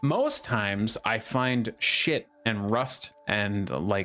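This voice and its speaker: A man's voice over noticeable background noise. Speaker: gaming streamer. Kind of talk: live gameplay commentary. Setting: live stream. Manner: repeats sentence starts, many uhs and ums.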